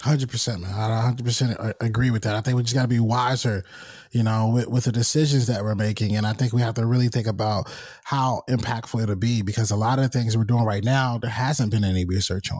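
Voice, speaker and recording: A man's somewhat breathy, medium-pitched voice with an American accent, fairly even intonation and a very fast pace, in a very clean recording with a silent background. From North Carolina, US South. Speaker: podcast host and talent manager. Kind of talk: casual interview chat.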